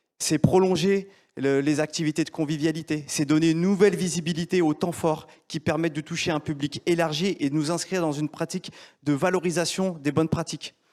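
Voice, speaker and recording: A man's fairly high, flat monotone at a fairly quick pace, dry and close with no echo, on a very clean recording with a silent background. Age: 40s. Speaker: entrepreneur. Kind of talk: pitch presentation. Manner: formal.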